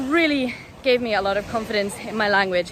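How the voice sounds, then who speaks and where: A woman speaks in a British accent with ordinary pitch variation. There is noticeable background noise. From United Kingdom. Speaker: language student. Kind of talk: testimonial. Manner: casual, hesitant with fillers.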